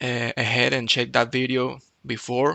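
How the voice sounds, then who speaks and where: A man's medium-pitched voice with vocal fry and a monotone, flat intonation. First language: not English. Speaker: programming YouTuber. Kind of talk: tutorial. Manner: hesitant, with fillers and restarts.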